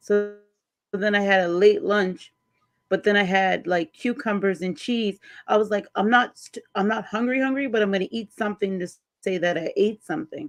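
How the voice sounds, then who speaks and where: A woman speaks at a moderate pace in a medium pitch. She has a normal speaking voice, and the background is quiet. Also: ordinary pitch variation. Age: 30s. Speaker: panel guest. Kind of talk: casual live panel chat.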